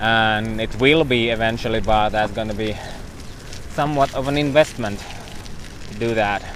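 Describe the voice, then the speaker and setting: A man talks with fairly even intonation. There is noticeable background noise in the clip. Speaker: cycling vlogger. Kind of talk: live stream commentary. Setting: outdoors on a bicycle. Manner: loud.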